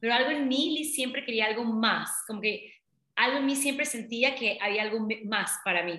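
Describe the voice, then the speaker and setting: A woman with a bright, sharp tone speaks at a fairly high pitch and a moderate pace. Her pitch varies in an ordinary way, and room echo is audible. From Panama, Colón. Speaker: business coach. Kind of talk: interview.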